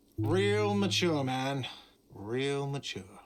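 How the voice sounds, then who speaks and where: Whiny and put on as a character voice, a man's medium-pitched speech carries an audible echo. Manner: shouting.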